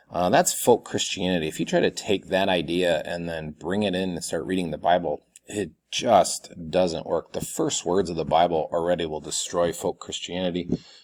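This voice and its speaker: With hardly any pauses, a man speaks in a very deep, low pitch and fairly even intonation. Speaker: college instructor. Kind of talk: recorded video lecture. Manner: fast.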